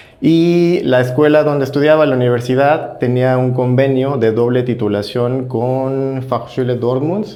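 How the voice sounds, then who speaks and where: With audible room echo and noticeable background noise, a man at medium pitch talks at a fairly slow pace with fairly even intonation and hardly any pauses. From Mexico, Guanajuato. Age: 30s. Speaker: podcast guest, migrant graduate student. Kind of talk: interview.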